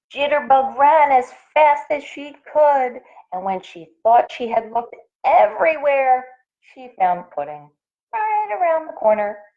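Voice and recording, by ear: A woman speaks at a high pitch, her voice swinging widely up and down. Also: fairly slow pace.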